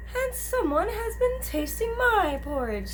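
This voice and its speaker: This is a put-on character voice with a high pitch. It moves at a fairly slow pace over clear background noise. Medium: read story.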